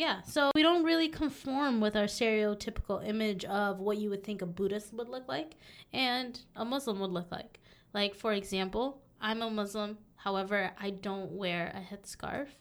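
Using a normal speaking voice, a woman with an American accent talks at a moderate pace with lively intonation. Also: fairly high pitch for a woman. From Southern California. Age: young. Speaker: podcast co-host, healthcare worker. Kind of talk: casual chat.

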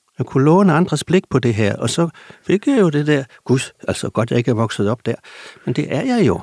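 The sound is dry and close, with no echo. A man speaks at a moderate pace and a fairly high pitch, with very wide pitch swings and long, frequent pauses. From Gram, South Jutland, Denmark. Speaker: novelist. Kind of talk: interview.

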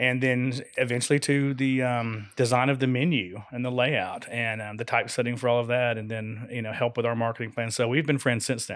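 A man with an American accent talks at a moderate pace in a plain, everyday voice, his medium pitch held in fairly even intonation. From Florida. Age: 50s. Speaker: farm shop owner. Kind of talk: casual radio interview. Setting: studio.

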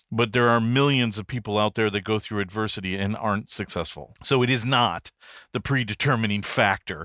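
A man's fairly low, bright, sharp voice with an American accent, dry and close with no echo, on a very clean recording against a silent background. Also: ordinary pitch variation, fairly quick pace. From US Midwest, Detroit area, Michigan. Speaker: business consultant and author. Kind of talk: interview.

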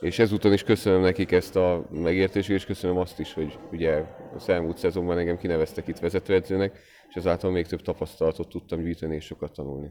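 Noticeable background noise surrounds a man whose very deep, low voice runs at a very fast pace with fairly even intonation. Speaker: national youth team basketball coach. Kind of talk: casual interview chat.

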